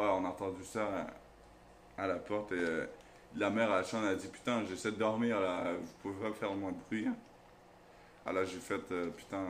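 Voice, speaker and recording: A man speaks with long, frequent pauses, and the room echo is audible. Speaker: YouTuber. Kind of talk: casual storytelling. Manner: loud.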